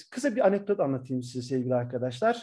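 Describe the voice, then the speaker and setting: Background sound is quiet. The tone is dark and mellow. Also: man. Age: 40s. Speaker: professor; university professor. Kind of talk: lecture. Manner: hesitant fillers. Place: home room. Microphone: webcam.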